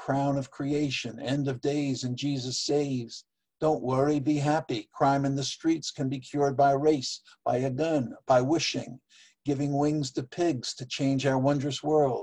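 Slightly breathy and dark, mellow in tone, a man speaks at a fairly slow pace with fairly high pitch and monotone, flat intonation. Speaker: poet and open-mic regular called the judge. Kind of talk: poetry reading, dense literary imagery.

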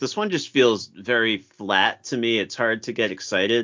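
The speech moves at a moderate pace. It is an ordinary speaking voice. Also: man. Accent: American. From Massachusetts. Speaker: teacher. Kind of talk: casual chat.

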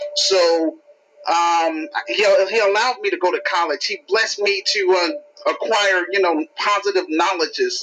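Noticeable background noise sits behind the speech. The speaker uses an American accent at a fairly slow pace. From US, Chicago inner city. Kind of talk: casual call-in talk. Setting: phone call. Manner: halting, many fillers.

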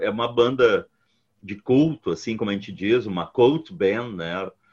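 In an unremarkable speaking voice, a man talks at medium pitch. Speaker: rock musician and university lecturer. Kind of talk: casual interview.

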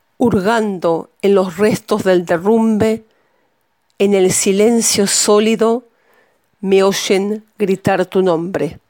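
A woman's dark, mellow tone at a very slow pace, with very even loudness. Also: medium pitch for a woman, fairly even intonation. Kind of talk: poetry reading, spoken word. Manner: intimate, measured, grave.

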